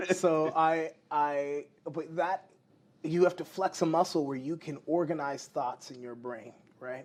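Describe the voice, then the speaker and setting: A man speaks in an animated tone with an American accent. His pace is fairly slow. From US Pacific Northwest, Seattle suburbs. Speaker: TV news anchor and wrestling commentator. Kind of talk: interview conversation.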